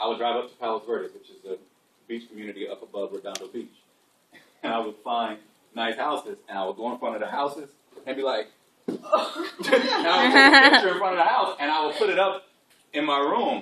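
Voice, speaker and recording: A man talks in an animated tone at a fairly quick pace, his loudness swinging widely. He leaves long pauses, and often. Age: 40s. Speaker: educational counselor. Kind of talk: class talk.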